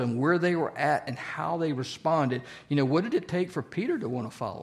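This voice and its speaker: A man with a Southern US accent, fairly quick, with ordinary pitch variation. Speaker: church Bible study teacher. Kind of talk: interactive Bible study lesson. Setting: church group with audience. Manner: speeds up when excited; conversational, asks audience questions.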